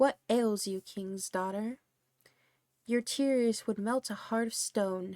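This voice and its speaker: In a croaky put-on character voice, a woman speaks at a fairly high pitch and a fairly slow pace. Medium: read story. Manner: insistent, coaxing.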